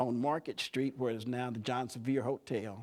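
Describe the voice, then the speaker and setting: A man of medium pitch with an East Tennessee accent speaks at a moderate pace and fairly even intonation in a very clean recording with a silent background. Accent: East Tennessee Southern US. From US South. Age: 70s. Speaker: community leader. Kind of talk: talk to students.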